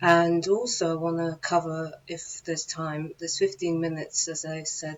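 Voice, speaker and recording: Speech at a moderate pace comes through with noticeable background noise behind it. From London. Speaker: channel host, musician. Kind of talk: video monologue. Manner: hesitant, many fillers.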